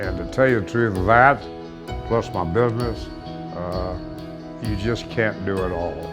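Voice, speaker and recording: Over music in the background, a man with an American accent speaks in a very deep, low pitch at a fairly slow pace, with very wide pitch swings and long, frequent pauses. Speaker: longtime stadium announcer and former football official and coach. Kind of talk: interview answer, casual reminiscing.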